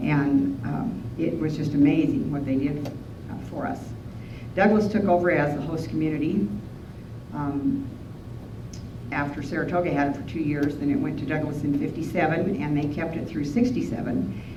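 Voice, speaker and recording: Over noticeable background noise, a woman with a Western US accent talks at a moderate pace in a very deep, low voice. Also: lively intonation. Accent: Western American. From Wyoming. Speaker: rancher, horse trainer, cowboy poet, rodeo historian. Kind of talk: museum talk to an audience.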